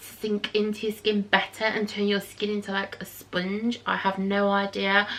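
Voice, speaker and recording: A fairly high-pitched woman with an East Midlands accent over noticeable background noise. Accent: English East Midlands (Nottinghamshire). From England, Nottinghamshire. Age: 30s. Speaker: beauty vlogger. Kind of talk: casual chat. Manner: rambling, hesitant with many ums.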